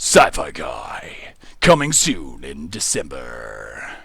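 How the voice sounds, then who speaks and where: This man's voice is a put-on character. It comes out raspy and very slow. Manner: dramatic, announcer delivery.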